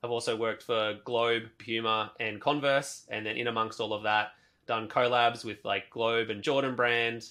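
In an Australian accent, a man speaks at medium pitch and a moderate pace. His tone is bright and sharp, his intonation monotone and flat. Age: 30s. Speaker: sneaker artist. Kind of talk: interview conversation.

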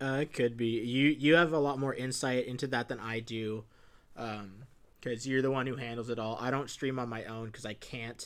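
An unremarkable speaking voice, a man talks at a fairly quick pace with fairly even intonation. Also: medium pitch for a man. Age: 20s. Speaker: podcast host. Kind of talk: casual chat.

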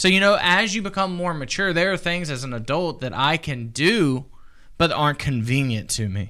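A man with an American accent, fairly high pitch, a bright, sharp tone, and lively intonation. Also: moderate pace. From US South. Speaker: youth pastor. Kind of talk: Bible study chat. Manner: halting, many fillers.

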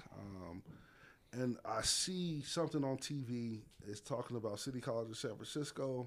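At a moderate pace, a man speaks in an unremarkable speaking voice at a medium pitch with ordinary pitch variation. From Las Vegas, Nevada. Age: 30s. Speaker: head football coach. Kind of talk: casual interview. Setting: coach's office.

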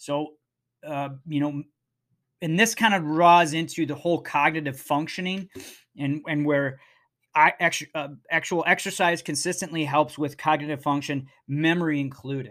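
At a moderate pace, a man with a fairly high pitch uses fairly even intonation in a very clean recording with a silent background. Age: 40s. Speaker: podcast host and firefighter. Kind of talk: casual talk. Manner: halting.

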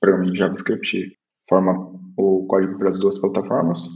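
A man's fairly low voice proceeds at a moderate speed. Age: 20s. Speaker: mobile developer. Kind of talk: casual chat.

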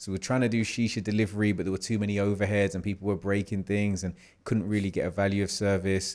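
A man's fairly low voice runs at a very fast pace in a monotone, flat intonation. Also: very clean recording, silent background. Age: 30s. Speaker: property developer. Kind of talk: interview.

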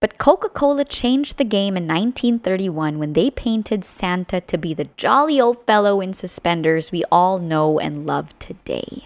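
With an unremarkable speaking voice, a woman talks at a moderate pace and medium pitch, using lively intonation and hardly any pauses, in a dry, close sound with no echo. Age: 30s. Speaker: podcast host. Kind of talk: scripted narration.

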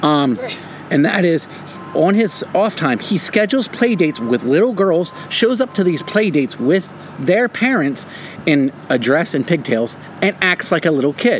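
Over noticeable background noise, a man with a high pitch speaks at a moderate pace, his pitch swinging very widely while his loudness stays very even. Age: 30s. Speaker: podcast co-host, stay-at-home parent. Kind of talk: casual chat.

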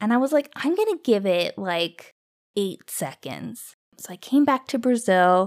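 In a Canadian accent, a woman speaks at a fairly slow pace with a fairly high pitch and very wide pitch swings. The recording is very clean, with a silent background. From Canada. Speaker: podcast host. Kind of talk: casual storytelling monologue.

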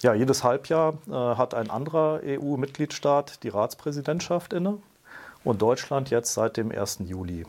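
A man's fairly high voice, an ordinary speaking voice, with lively intonation and a fairly slow pace. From grew up in Brussels, Belgium. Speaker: state secretary for European affairs. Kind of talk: interview, explanatory.

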